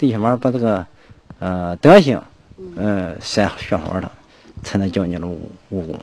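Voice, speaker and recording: A man speaks at a fairly slow pace with lively intonation, his voice dry with no echo. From Shandong. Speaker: villager, grandson of martial artist. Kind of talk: interview reminiscence. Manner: halting. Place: street. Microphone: handheld.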